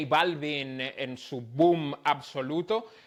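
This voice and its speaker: In a very clean recording with a silent background, a man with a fairly high voice speaks very slowly and with fairly even intonation. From Dominican Republic. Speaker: music journalist. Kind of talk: podcast interview answer.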